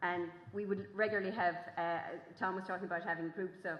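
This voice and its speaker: A woman speaks with an Irish accent. Her fairly low voice has a monotone, flat intonation. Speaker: farming journalist and author. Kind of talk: festival talk. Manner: fast; halting.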